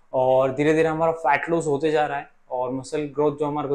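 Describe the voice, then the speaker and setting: This man speaks in a monotone, with flat intonation. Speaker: fitness coach. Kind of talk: casual vlog chat. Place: office.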